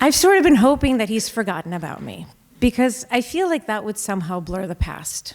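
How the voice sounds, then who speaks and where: At a moderate pace, a woman talks in a fairly high voice with very wide pitch swings. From Russia, moved to US at 10. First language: Russian. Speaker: storyteller. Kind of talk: live storytelling. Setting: stage with audience.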